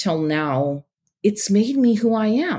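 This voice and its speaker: A woman with a Canadian Prairies accent. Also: very clean recording, silent background. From Saskatchewan, Canada. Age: 40s. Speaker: beekeeper and entrepreneur. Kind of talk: personal testimony in interview.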